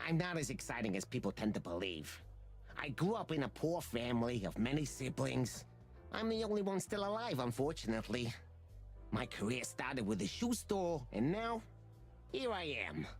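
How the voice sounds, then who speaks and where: Someone performs a put-on character voice at a moderate pace, with clear music in the background. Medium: video game. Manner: smooth, calm, guarded.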